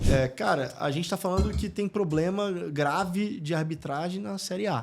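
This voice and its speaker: This man speaks at a moderate pace in a high pitch, with ordinary pitch variation. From Brazil, Espírito Santo. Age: 30s. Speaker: football club executive and entrepreneur. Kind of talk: podcast interview. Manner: casual, filler-heavy.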